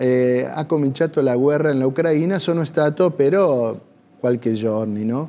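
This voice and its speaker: Speaking with an Argentine accent, a man uses lively intonation and a dark, mellow tone. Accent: Argentine Spanish accent in Italian. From Argentina. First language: Spanish (speaking Italian). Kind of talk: TV interview. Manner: halting, searching for words. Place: cafe.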